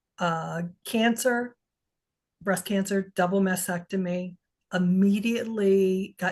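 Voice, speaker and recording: Somewhat breathy speech with ordinary pitch variation over a quiet background. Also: woman. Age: 60s. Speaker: HRV biofeedback coach and researcher. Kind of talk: casual interview.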